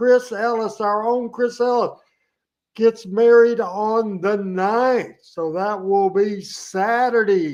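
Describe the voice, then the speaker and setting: A man with a Southern US accent speaks at a very slow pace and an extremely high pitch. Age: 60s. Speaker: wrestling show host. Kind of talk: casual chat.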